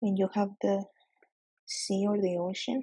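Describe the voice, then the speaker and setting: A woman with a Spanish accent talks at a fairly slow pace in a dark, mellow tone that is somewhat breathy, with ordinary pitch variation. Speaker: nuclear exam tutor. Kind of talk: tutorial. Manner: hesitant, self-correcting.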